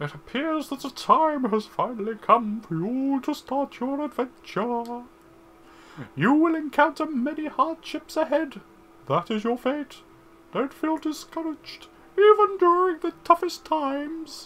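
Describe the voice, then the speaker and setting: A put-on character voice, high in pitch, at a fairly slow pace. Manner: silly, solemn.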